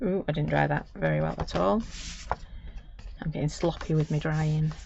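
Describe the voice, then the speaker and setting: Someone speaks at a moderate pace with a Manchester accent. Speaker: crafter. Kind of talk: live craft tutorial. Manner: chatty, casual.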